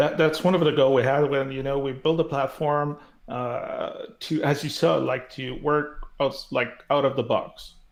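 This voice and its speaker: A man with a Quebec accent speaks at a fairly slow pace. He leaves hardly any pauses. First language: French. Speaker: developer relations director. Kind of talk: casual tech interview. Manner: halting, many fillers.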